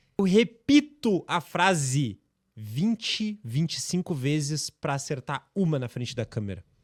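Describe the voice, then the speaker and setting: Fairly high-pitched and somewhat breathy, a man talks at a fairly slow pace with very wide pitch swings, recorded dry and close with no echo in a very clean recording with a silent background. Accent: southern Brazilian. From southern Brazil. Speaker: personal trainer. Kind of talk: podcast interview.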